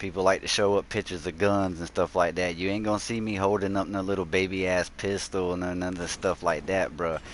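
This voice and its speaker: A man speaks in a strong Southern US accent at a fairly low pitch. His pace is fairly quick and his intonation is monotone and flat. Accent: strong Southern country. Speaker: gaming streamer. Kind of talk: casual live-stream chat. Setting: live stream.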